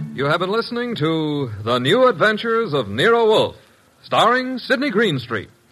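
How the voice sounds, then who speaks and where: With music in the background, a man speaks at a moderate pace in a high pitch, with an upbeat tone and very wide pitch swings. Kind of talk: old-time radio announcer, promo reading. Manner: bright, showy, brisk, upbeat.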